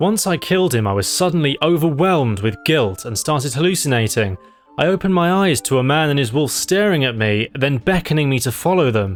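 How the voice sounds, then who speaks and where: Music plays in the background as a man talks at a very fast pace. His pitch is fairly high and his intonation lively. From British. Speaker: gaming YouTuber. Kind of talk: comedic gameplay narration. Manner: sarcastic, dry.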